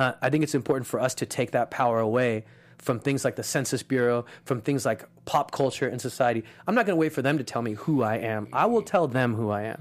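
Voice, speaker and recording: Talking very fast, a man with an American accent uses a medium pitch and ordinary pitch variation. The recording is very clean, with a silent background. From Los Angeles, US (East LA). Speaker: comedian. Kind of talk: casual chat.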